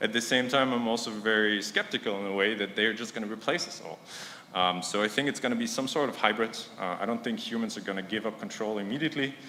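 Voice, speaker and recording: Amid noticeable background noise and audible room echo, a man with a non-native accent speaks at a very fast pace, at medium pitch with ordinary pitch variation. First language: not English. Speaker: conference speaker, science startup founder. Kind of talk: conference talk. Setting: stage with audience. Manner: hesitant, with fillers.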